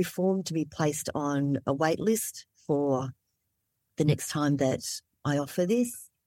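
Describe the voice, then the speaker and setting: At a very slow pace, a woman speaks with a dark, mellow tone and very deep, low pitch, with ordinary pitch variation, on a very clean recording with a silent background. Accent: Australian. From Australia (Melbourne), born in Vietnam. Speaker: somatic trauma therapist. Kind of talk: interview conversation.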